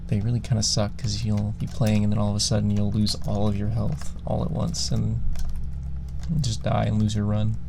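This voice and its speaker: Soft-spoken and relaxed in tone, the speaker moves at a moderate pace over noticeable background noise. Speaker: ASMR creator and gamer. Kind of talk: casual talk to camera while gaming. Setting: studio, close binaural microphone. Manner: soft-spoken, relaxed.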